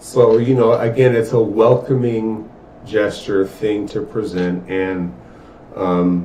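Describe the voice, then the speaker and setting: A man with a fairly low voice speaks at a very slow pace. His pitch varies in an ordinary way, with audible room echo. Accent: American. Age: 60s. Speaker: podcast co-host. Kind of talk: casual chat.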